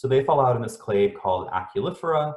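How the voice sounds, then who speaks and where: A man speaks at a fairly quick pace with lively intonation, somewhat breathy. Audible room echo surrounds his voice. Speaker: scientist presenting research. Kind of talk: lecture. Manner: fast. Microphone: dodgy sound, internet problems.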